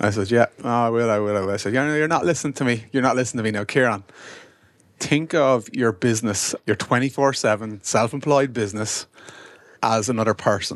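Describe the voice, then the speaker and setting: With an Irish accent, a man talks at medium pitch and a fairly quick pace, with ordinary pitch variation. The recording is very clean, with a silent background. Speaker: businessman, brother of the host. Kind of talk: casual chat. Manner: teasing, bantering.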